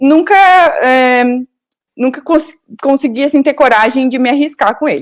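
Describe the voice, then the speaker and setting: A woman with a southern Brazilian accent speaks in a high voice with ordinary pitch variation. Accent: gaúcho (southern Brazilian). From Rio Grande do Sul, southern Brazil. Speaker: software engineer. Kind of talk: interview.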